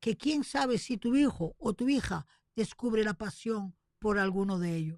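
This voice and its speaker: A woman with a fairly high pitch, very wide pitch swings and a dark, mellow tone, at a very slow pace, in a dry, close sound with no echo. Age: 70s. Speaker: radio host. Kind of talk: radio commentary. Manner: animated.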